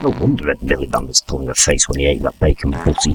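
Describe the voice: A man puts on a character voice, extremely low in pitch with a husky, rough edge, going at a fast pace with fairly even intonation.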